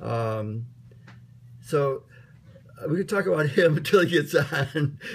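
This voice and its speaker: A man's intonation is lively, and his voice is somewhat breathy. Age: old. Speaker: online course team organizer. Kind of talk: casual meeting chat. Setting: video call. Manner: halting, many fillers.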